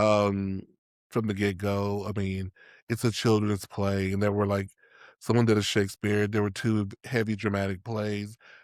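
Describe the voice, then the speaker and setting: This man's voice is fairly low and his intonation monotone and flat. He speaks at a moderate pace on a very clean recording with a silent background. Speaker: podcast co-host, playwright and theatre teacher. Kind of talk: casual chat. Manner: sometimes mumbled, rough diction.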